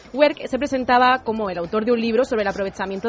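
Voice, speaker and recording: Amid noticeable background noise, a woman with a fairly high pitch talks at a very fast pace. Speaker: radio presenter. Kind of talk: news reading.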